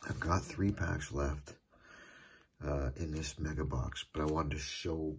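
A man speaks quietly at a fairly slow pace. His very deep, low voice carries vocal fry. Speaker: trading card collector YouTuber. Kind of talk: casual card-opening video. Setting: at home. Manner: quiet, hushed. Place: home room. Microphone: phone near.

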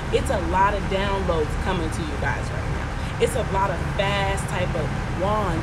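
Loud background noise fills the clip. A woman speaks through it at a moderate pace. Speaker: tarot reader. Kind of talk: casual tarot reading chat. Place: street. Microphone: phone near.

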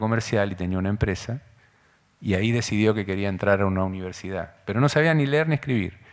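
Very fast speech from a man with an Argentine accent, fairly low pitch and ordinary pitch variation, against a quiet background. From Argentina. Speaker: school director; speaker. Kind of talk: lecture. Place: hall. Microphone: podium.

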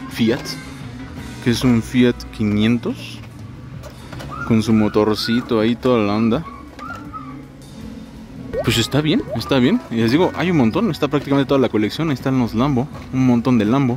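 Clear music plays in the background as the speech moves at a moderate pace, with long, frequent pauses. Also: man, ordinary pitch variation, dry sound with no echo. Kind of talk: casual vlog chat. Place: shop. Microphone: phone near.

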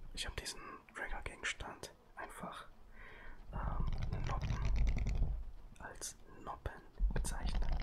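Whispering, a man speaks at a very slow pace. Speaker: ASMR creator. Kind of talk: casual ASMR commentary. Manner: soft close-mic ASMR voice. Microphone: studio mic.

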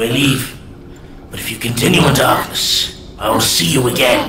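Over clear background noise, a man performs a put-on character voice at a medium pitch and moderate pace. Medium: short film. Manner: menacing, relishing, cryptic.

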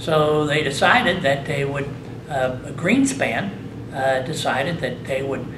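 Over noticeable background noise, a man with an American accent talks at a moderate pace in a fairly high pitch. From US Midwest (Indiana). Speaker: hall of fame inductee, former baseball player. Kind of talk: interview. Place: meeting room.

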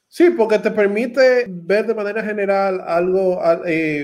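A man with a Dominican accent and a high pitch. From Dominican Republic, Santo Domingo. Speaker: tech channel host. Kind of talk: interview on a livestream.

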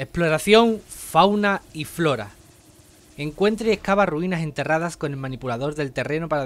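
A man with a normal speaking voice and ordinary pitch variation. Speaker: gaming youtuber. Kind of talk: scripted narration.

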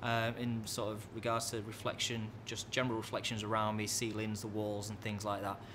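Through noticeable background noise, a man talks at a fairly quick pace. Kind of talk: casual tutorial commentary. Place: bar. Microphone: studio mic.

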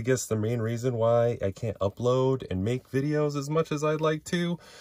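The sound is dry with no echo as a man talks at a moderate pace over a quiet background. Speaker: toy collector channel host. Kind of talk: casual vlog chat. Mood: grateful, candid, personal. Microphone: phone near.

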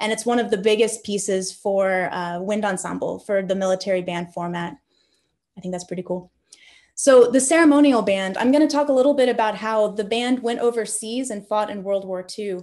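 At a fairly quick pace, a woman talks over a quiet background. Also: ordinary pitch variation. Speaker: military band musician. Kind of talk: lecture. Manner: enthusiastic. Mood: enthusiastic. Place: home room. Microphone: webcam.

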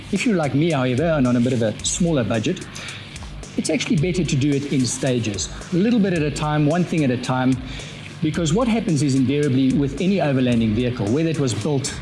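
The speech runs at a very fast pace while faint music plays in the background. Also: man. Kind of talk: tech talk presentation to camera. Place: garage.

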